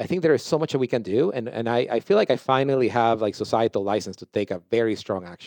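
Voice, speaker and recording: Against a quiet background, a man at a medium pitch rattles along very fast with hardly any pauses, his pitch varying in an ordinary way and the sound dry and close with no echo. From Ecuador. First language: Spanish. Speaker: company founder and CEO. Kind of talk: interview conversation.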